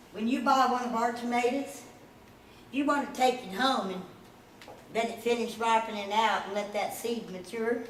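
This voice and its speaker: A woman speaks at a high pitch and a moderate pace, with ordinary pitch variation. Audible room echo and noticeable background noise surround her. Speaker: aquaponics project founder presenting. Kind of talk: presentation to a society. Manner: animated.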